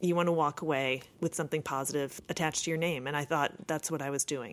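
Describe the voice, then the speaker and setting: A woman talks at a very fast pace. She has an American accent. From Chicago, Rogers Park. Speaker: former city council candidate, lawyer. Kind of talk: interview.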